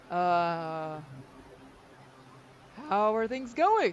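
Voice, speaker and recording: Over clear background noise, a put-on character voice sits at a middle pitch. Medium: actual play. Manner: friendly, casual.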